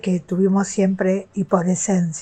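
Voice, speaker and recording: Music plays in the background as a woman speaks at a very slow pace. Her medium-pitched voice has monotone, flat intonation. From Argentina. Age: 60s. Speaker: retired teacher sharing abuse experience. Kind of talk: personal testimony. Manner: some hesitation fillers.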